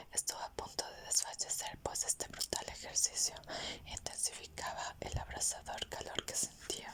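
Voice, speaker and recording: A whisper moves along fairly slowly while noticeable noise sits in the background. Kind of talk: whispered audiobook reading (ASMR). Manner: whispered.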